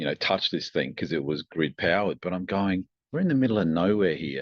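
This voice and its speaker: The speaker has an Australian accent and lively intonation. The delivery moves at a fairly quick pace. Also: man, very deep, low pitch for a man. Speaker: tech company founder and engineer. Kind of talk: podcast interview. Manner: hesitant, many fillers and restarts.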